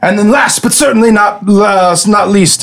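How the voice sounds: Intonation stays fairly even in what is a natural reading voice.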